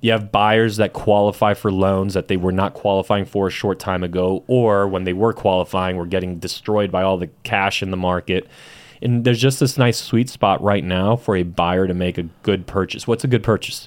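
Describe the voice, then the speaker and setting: A plain, everyday voice: a man with an American accent and a fairly low pitch, at a moderate pace. His intonation is fairly even, in a very clean recording with a silent background. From San Diego, California (South Bay, Chula Vista). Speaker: real estate team owner. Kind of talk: casual interview.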